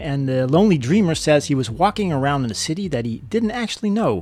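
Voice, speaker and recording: At a fairly quick pace, a man talks with a fairly high pitch and very wide pitch swings. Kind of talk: radio dj patter, upbeat live-stream show hosting with shout-outs and track intros. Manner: warm, friendly, enthusiastic host.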